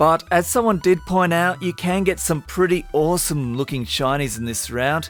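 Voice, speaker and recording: A man with an Australian accent talks in an upbeat tone with lively intonation. Music plays in the background. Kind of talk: casual gameplay commentary.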